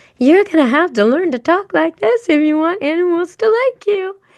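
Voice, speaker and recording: A woman does a squeaky, put-on character voice at an extremely high pitch, swinging it very widely while keeping a moderate pace. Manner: gentle, friendly to animals.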